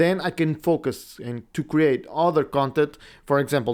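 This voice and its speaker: A man speaks in a Portuguese accent. The recording is very clean, with a silent background. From Portugal. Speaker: podcast host and video editing teacher. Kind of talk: casual monologue. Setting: home recording setup. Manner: halting.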